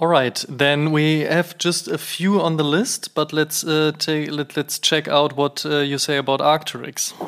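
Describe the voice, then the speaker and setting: In a German accent, a man speaks at a fairly slow pace with hardly any pauses. His fairly high voice stays monotone and flat, with noticeable background noise. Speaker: podcast host. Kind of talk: interview.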